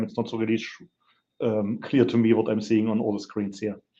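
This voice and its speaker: A man's dark, mellow voice holds a medium pitch and a monotone, flat intonation. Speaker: petroleum industry specialist. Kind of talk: lecture. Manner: hesitant, many fillers.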